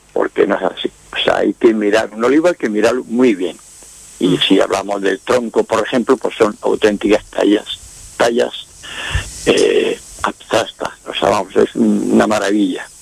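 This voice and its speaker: Noticeable background noise sits behind a man speaking at a fairly slow pace, his voice dry and close with no echo. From Andalusia, Spain (Quesada, Jaén province). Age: 70s. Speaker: painter. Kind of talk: radio interview.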